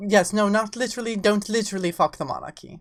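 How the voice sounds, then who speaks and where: A woman speaks with an English accent. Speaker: VTuber streamer. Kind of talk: casual live-stream chat. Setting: live stream.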